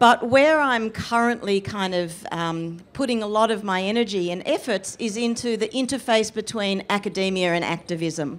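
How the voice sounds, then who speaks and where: A woman with an Australian accent, at a moderate pace. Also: medium pitch for a woman, ordinary pitch variation, hardly any pauses. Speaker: history professor and author; panelist. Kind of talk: panel discussion. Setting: festival stage with audience. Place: tent. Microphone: handheld.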